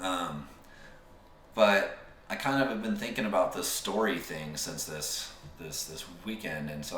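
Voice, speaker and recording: At a moderate pace, a man with an American accent speaks in a very deep, low voice. Noticeable background noise and audible room echo surround him. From Utah. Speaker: podcast co-host. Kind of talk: casual chat. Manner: halting.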